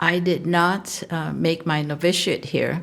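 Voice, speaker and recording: Fairly low-pitched woman's voice with vocal fry, fairly even intonation and a fairly slow pace. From Hong Kong. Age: 80s+. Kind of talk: interview.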